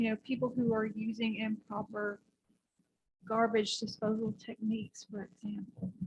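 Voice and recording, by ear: Soft-spoken and fairly high-pitched, a woman speaks at a moderate pace with little pitch movement, a slightly mellow tone, vocal fry and a slightly husky edge.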